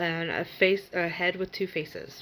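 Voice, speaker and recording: Quietly, a woman speaks at a very slow pace. Her pitch is medium. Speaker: spiritual reader. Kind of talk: casual vlog talk.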